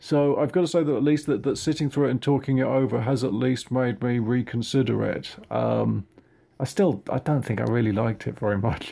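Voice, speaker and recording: This man talks at a fairly quick pace and a medium pitch, with an English accent. His loudness stays very even. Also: ordinary pitch variation. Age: 50s. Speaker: podcast guest. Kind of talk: casual film discussion. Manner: halting, hesitant.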